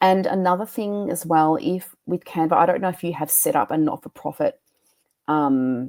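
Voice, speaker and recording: Dry and close with no echo, a woman's fairly low voice carries lively intonation. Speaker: graphic designer. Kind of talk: workshop presentation. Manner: fast.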